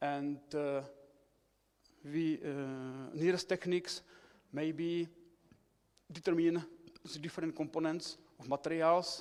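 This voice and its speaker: This man has a Czech accent and a fairly high pitch. He talks at a fairly slow pace with monotone, flat intonation. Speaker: researcher. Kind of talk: conference presentation. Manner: halting.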